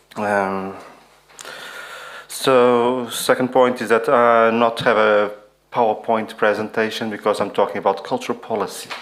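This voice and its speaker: A man talks at a medium pitch and a fairly slow pace in a monotone, flat intonation. Long pauses come often. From Portugal. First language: non-English. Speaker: conference speaker. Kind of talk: reading aloud.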